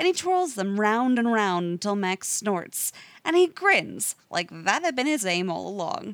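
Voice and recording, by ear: The passage is read aloud. The voice is natural.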